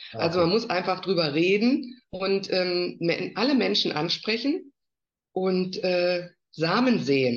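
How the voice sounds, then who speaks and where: A woman speaks at a fairly slow pace with vocal fry and lively intonation. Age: 50s. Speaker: network marketer. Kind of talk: casual interview.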